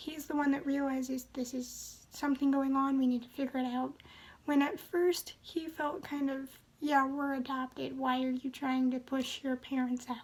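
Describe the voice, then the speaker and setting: A soft-spoken woman with a high pitch and a calm tone, monotone and flat, at a moderate pace. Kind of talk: book review talk to camera. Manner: calm, soft-spoken.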